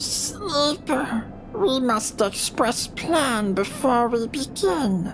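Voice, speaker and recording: Amid loud background noise, a put-on character voice at a fairly high pitch moves at a very slow pace. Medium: game stream. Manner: clipped, broken telegraphic speech.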